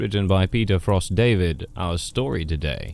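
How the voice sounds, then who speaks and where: A dark, mellow tone carries this voice. It is spoken with a British accent. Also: man. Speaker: voice actor. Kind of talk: horror story host introduction.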